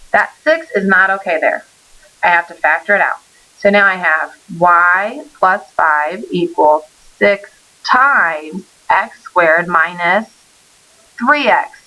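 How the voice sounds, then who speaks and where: A woman at medium pitch, lively intonation and very even loudness, at a very slow pace with long, frequent pauses. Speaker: math teacher. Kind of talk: recorded lesson. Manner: stumbling over words.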